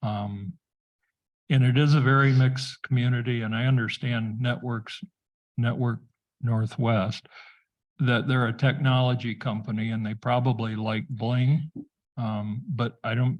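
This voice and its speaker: A man talks at a fairly slow pace, his voice medium in pitch and somewhat breathy. He leaves long, frequent pauses. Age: 70s. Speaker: township committee member. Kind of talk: public meeting discussion.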